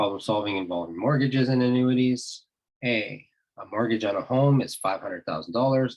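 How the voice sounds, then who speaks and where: A plain, everyday voice is heard at a moderate pace. Its pitch varies in an ordinary way. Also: man. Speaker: math teacher. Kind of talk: tutorial. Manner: casual, self-correcting.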